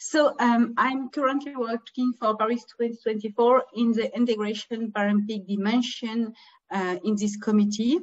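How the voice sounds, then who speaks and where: Her pitch is fairly high and her intonation fairly even. The woman keeps a moderate pace. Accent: French. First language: French. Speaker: former Paralympian and event organizer. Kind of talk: webinar presentation. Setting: video call from home. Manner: halting, many fillers.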